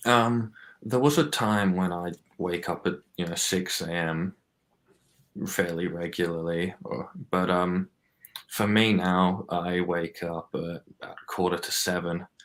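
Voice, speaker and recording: A man with a very deep, low pitch speaks quietly and at a fairly slow pace. He shows ordinary pitch variation and takes long, frequent pauses. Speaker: podcast guest. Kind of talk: casual chat. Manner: quiet, subdued.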